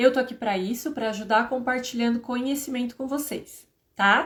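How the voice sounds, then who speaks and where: Here is a woman with a normal speaking voice. Her pace is moderate and her intonation fairly even. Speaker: HR and payroll instructor. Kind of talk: live stream lecture. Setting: live stream.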